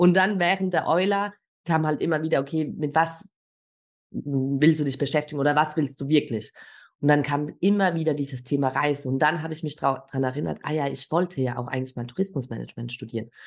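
A woman talks at a fairly quick pace in a very deep, low pitch. The background is quiet. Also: ordinary pitch variation. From Germany. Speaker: travel guide and entrepreneur. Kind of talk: interview conversation.

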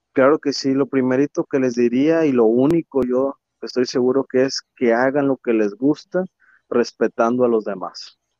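A man talks at a moderate pace and medium pitch with fairly even intonation. His tone is dark and mellow, the sound dry and close, with no echo. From Mexico, Tampico, Tamaulipas. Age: 20s. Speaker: engineer and youth community leader. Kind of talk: interview. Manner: hesitant, many filler words.

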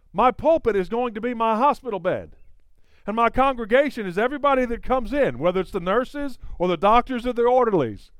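Speaking at a fairly quick pace with an extremely high pitch and ordinary pitch variation, a man talks in a North Carolina accent on a very clean recording with a silent background. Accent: North Carolina twang. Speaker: evangelist. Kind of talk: sermon.

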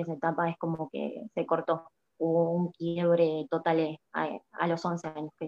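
This woman's voice sits fairly low in pitch and stays monotone and flat. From Argentina. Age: 20s. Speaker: prophet and social media preacher. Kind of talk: interview testimony. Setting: live video stream. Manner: hesitant, many fillers.

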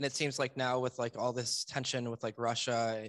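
At a fairly quick pace, a man talks in a plain, everyday voice at medium pitch, with a dry, close sound and no echo. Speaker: podcast host. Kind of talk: casual interview.

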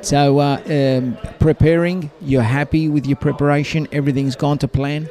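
A man with a fairly high pitch speaks with hardly any pauses, very even loudness and fairly even intonation, over noticeable background noise. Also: moderate pace. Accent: Australian. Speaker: podcast host and interviewer. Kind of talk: casual interviews. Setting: backstage at a boxing event.

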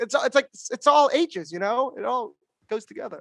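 Raised and projected, a man's voice rings out at an extremely high pitch with a bright, sharp tone and animated delivery, the sound dry and close with no echo against a quiet background. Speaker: comedian and podcast host. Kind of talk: casual comedic chat. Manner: loud, flirty, animated.

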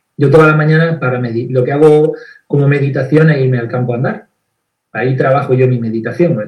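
A man speaks in a fairly high, somewhat breathy voice with fairly even intonation. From Andalusia, Spain (Granada). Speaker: therapist. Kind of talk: video interview. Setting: live stream.

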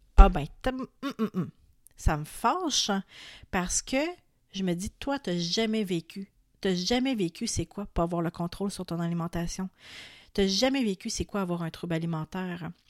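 A woman with a Quebec accent and medium pitch talks at a fairly slow pace with long, frequent pauses and ordinary pitch variation, the recording very clean with a silent background and dry, close sound with no echo. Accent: Québécois French. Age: 30s. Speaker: wellness podcast host. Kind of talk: solo podcast monologue. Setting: home recording at microphone.

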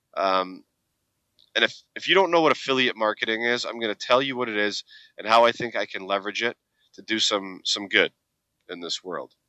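A man at a fairly quick pace and medium pitch, energetic in tone, with ordinary pitch variation, big swings in loudness and long, frequent pauses. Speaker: podcast host. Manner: casual, energetic.

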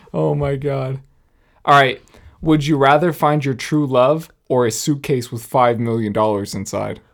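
Here a man talks at a fairly slow pace with a medium pitch and ordinary pitch variation. The recording is very clean and the background silent. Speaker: podcast co-host and musician. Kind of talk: casual chat.

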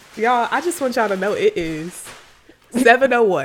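A woman's animated tone swings very widely in pitch against noticeable background noise. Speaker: podcast co-host. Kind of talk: casual chat.

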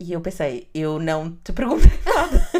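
Speaking at a fairly slow pace, a woman has a fairly low voice. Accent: European Portuguese. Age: 30s. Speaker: podcast co-host. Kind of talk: casual chat.

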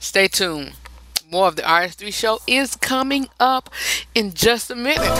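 The voice is raised and projected, with lively intonation. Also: man. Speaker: radio host. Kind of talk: radio dj patter, upbeat show-host banter; opening prayer. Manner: conversational, emphatic, repeats lines for effect.

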